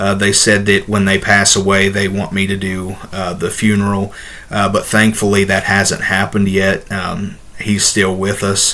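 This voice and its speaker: Over noticeable background noise, a man with a slight Southern US accent talks at a moderate pace in a monotone, flat intonation. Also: fairly low pitch for a man. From Ohio, US Midwest. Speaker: ordained minister and video host. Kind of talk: casual Q&A talk to camera. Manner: halting, many fillers.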